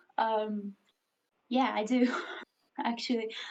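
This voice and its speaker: A woman speaks with a fairly high pitch. The room echo is audible. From Greece. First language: Hungarian. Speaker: livestreamer. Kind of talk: casual chat.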